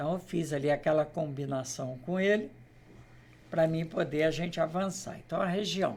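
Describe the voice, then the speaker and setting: Fairly high in pitch, a man speaks at a moderate pace in an unremarkable speaking voice with ordinary pitch variation. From Brazil, Queimados area (Rio de Janeiro state). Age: 60s. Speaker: local politician. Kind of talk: interview.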